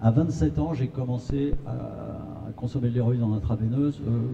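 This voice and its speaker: Dark and mellow in tone, a man's medium-pitched voice carries vocal fry. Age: 60s. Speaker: patient association secretary. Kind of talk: testimony at a conference.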